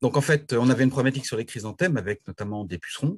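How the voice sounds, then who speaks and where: A man's somewhat breathy voice with lively intonation over a quiet background. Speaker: horticulturist. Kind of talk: presentation. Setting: video call. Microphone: video call.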